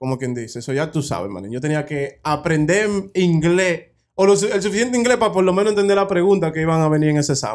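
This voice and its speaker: A man's fairly high, animated voice at a very fast pace, with lively intonation and hardly any pauses. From Dominican Republic. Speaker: podcast co-host. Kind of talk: casual chat.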